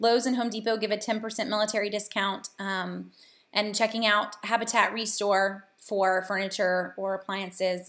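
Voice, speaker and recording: Delivered at a moderate pace in monotone, flat intonation with a slight Southern US accent, the voice comes through on a very clean recording with a silent background. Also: woman. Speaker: couponing and money-saving host. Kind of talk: live Q&A. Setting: live video stream. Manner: casual, many filler ums.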